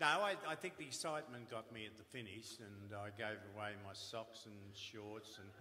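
A man with an Australian accent at a moderate pace, hardly any pauses and ordinary pitch variation. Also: big swings in loudness. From Melbourne, Australia. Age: 70s. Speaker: retired footballer. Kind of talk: anecdotal storytelling. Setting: stage with audience. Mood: humorous storytelling. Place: stage.

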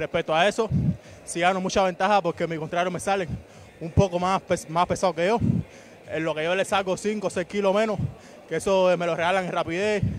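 A man with a Cuban accent at a high pitch, fairly quick and monotone with flat intonation, dry with no echo, over light background noise. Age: 20s. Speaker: boxer. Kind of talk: post-fight interview. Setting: boxing gym arena. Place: stadium. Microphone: handheld.

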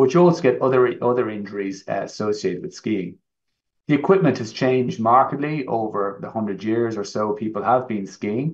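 A man's medium-pitched voice with an Irish accent, lively intonation, a moderate pace and a quiet background. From Ireland. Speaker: orthopaedic knee surgeon, professor; professor. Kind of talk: medical presentation. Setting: online live event. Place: home room. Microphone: webcam.

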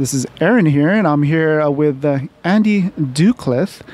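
In a dry sound with no echo, a man with a normal speaking voice and fairly high pitch speaks with ordinary pitch variation. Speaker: podcast co-host. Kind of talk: casual interview. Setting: on location at comic coffee shop. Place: cafe.

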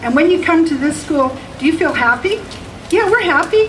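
Against noticeable background noise, a woman with a Canadian accent speaks with very wide pitch swings. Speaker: kindergarten teacher. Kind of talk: rally speech. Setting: outdoor rally with audience. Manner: hesitant start, storytelling.

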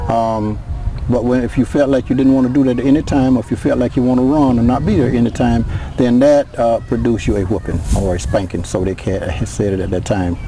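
A medium-pitched man at a very fast pace, ordinary pitch variation, a dry sound with no echo, light background noise. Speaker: former reform school inmate. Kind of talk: interview testimony. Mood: somber, recalling painful past. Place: open country.

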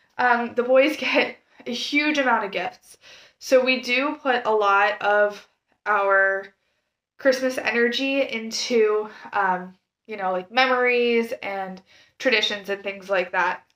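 The voice has a bright, sharp tone and ordinary pitch variation. It moves at a very slow pace. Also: woman, fairly high pitch for a woman. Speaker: stay-at-home mom vlogger. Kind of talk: casual vlog gift guide. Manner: casual, many filler words.

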